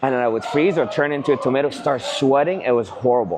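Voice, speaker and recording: With music in the background and audible room echo, a man speaks at a very fast pace with ordinary pitch variation. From Canada (immigrated as a teen). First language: not English. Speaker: real estate agent, vlogger. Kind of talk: casual chat. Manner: animated.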